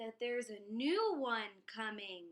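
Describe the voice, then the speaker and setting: A woman performs in a put-on character voice. She speaks at a fairly slow pace. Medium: read story. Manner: eager, chattering.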